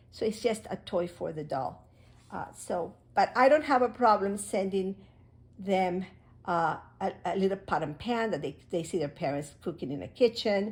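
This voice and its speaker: At a moderate pace, a woman with a somewhat breathy, medium-pitched voice makes very wide pitch swings on a very clean recording with a silent background. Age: 70s. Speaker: crafts hobby video maker. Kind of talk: unboxing tutorial. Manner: halting.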